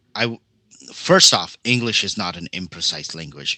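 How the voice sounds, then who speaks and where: A man with a medium pitch takes his words at a fairly slow pace. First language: not English (English learned sixth). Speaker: panelist on tabletop gaming talk show. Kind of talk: casual chat.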